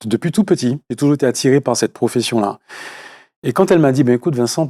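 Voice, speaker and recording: A man with a Martinican accent talks very fast at a medium pitch, his tone dark and mellow. The recording is very clean, with a silent background. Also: lively intonation, dry, close sound with no echo. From Martinique. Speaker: actor. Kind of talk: interview. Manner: hesitant, many fillers.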